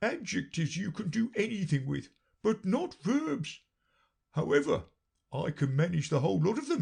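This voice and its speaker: A put-on character voice delivers its lines at a moderate pace. The tone is pompous. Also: man. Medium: read story. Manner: pompous, lordly.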